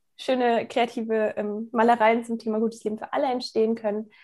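The speaker is a woman with a fairly high-pitched voice. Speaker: youth environmental activist. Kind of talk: interview. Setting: remote recording. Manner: hesitant, many fillers.

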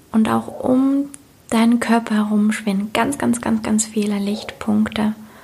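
Over noticeable background noise, a woman speaks fairly slowly in a soothing, calm tone, her loudness very even. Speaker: meditation guide and coach. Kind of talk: guided meditation. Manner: slow, soothing, calm; gentle, dreamy, repeated phrases.

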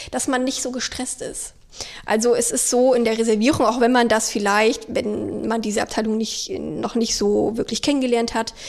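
A woman's high-pitched voice with a slight Thuringian accent, fairly even intonation and a moderate pace, over noticeable background noise. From Thüringen, Germany. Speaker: hotel reservations employee. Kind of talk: casual interview chat. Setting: hotel suite.

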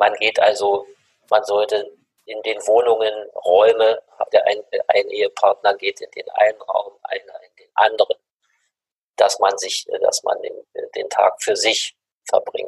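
Big swings in loudness mark this man's fairly slow speech, which has long, frequent pauses. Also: dry, close sound with no echo. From Germany. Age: 60s. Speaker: mediation expert and university head. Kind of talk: interview.

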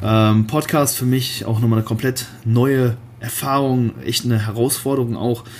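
Noticeable background noise sits behind a man's voice. He speaks at a medium pitch with fairly even intonation. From Germany, Cologne. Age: 20s. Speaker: bodybuilder and online fitness coach. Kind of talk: solo podcast monologue. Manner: casual, many filler words.

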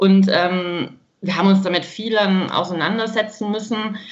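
In a room with audible echo, a woman speaks at a medium pitch with fairly even intonation. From Baden-Württemberg, Germany. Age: 30s. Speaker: woman with congenital heart defect, grief companion for children. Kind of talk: podcast interview.

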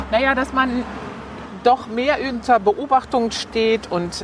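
A woman talks at a very slow pace. There is noticeable noise in the background. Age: 50s. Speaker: pastor's wife and advertising copywriter. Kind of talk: casual interview while walking. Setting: outdoors, walking through a cemetery.

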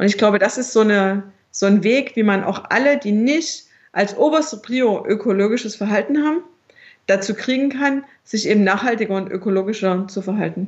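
A woman with a fairly high, somewhat breathy voice talks at a moderate pace with ordinary pitch variation. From Dresden area, Saxony (East Germany). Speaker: entrepreneur and mother. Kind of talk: interview.

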